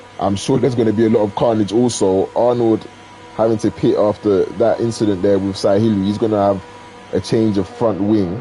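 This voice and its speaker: Music plays in the background as a man speaks at a fairly low pitch. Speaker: sim racing league commentator. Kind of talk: live commentary. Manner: animated.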